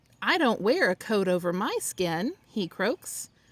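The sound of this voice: This is an unforced reading voice. It reads the text through.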